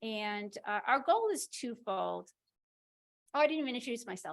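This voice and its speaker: The speaker is a woman. Her pitch is fairly high. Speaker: nurse navigator. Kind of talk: event welcome speech. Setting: conference room with live audience. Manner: fast.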